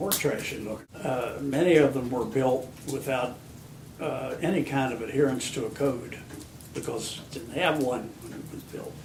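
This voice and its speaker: In an American accent, a man at medium pitch speaks at a moderate pace with ordinary pitch variation and big swings in loudness, over noticeable background noise and audible room echo. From Virginia (Harrisonburg), US South. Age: 60s. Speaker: local historian. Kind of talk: interview.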